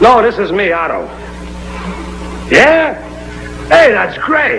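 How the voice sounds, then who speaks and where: A man speaks in a raised, projected voice at a very slow pace. His pitch swings very widely over noticeable background noise. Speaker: radio sitcom actor playing the friendly neighbor sidekick. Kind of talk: old-time radio sitcom dialogue.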